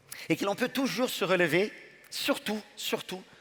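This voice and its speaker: A man with a strong non-native accent speaks at a moderate pace in a warm tone with vocal fry. His pitch swings very widely. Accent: foreign accent in French, strong. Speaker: business school leader. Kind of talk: graduation ceremony speech. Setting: ceremony hall with audience. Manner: warm, emphatic with repetitions.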